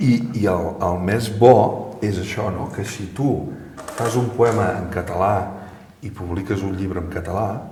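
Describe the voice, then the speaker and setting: A man at a fairly low pitch, very slow pace and fairly even intonation, with noticeable background noise. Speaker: interviewer, TV presenter. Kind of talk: interview questions.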